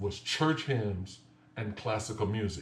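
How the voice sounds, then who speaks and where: Speaking at a fairly slow pace with an American accent, a man's somewhat breathy, fairly low voice carries audible room echo. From US South, Lake Charles, Louisiana. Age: 60s. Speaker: piano teacher. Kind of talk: tutorial.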